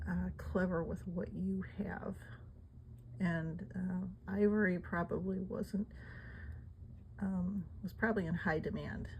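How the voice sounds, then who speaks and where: A woman mumbles at a very slow pace. Long, frequent pauses break up her speech. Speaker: amateur artifact collector. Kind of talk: casual talk to camera. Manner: mumbling, hesitant.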